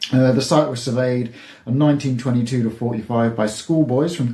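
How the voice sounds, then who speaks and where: This man has a medium-pitched, dark and mellow voice that is somewhat breathy, with ordinary pitch variation. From England, Devon. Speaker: YouTuber. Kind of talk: casual vlog monologue. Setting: outdoors. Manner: quiet; hesitant.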